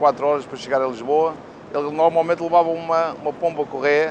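Against noticeable background noise, a man's fairly high voice stays monotone and flat. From Portugal. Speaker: restaurant and gym owner. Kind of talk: interview.

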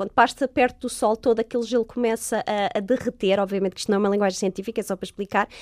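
In a very clean recording with a silent background and a dry, close sound with no echo, a woman talks in an ordinary speaking voice, fairly high-pitched with ordinary pitch variation. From Portugal, Lisbon. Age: 30s. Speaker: astrobiologist. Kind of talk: interview.

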